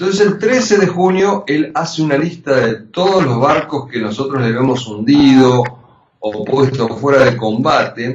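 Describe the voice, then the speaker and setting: A man talks in a normal speaking voice at a fairly slow pace. His pitch is fairly high, with lively intonation. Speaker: journalist and war veteran. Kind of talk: interview.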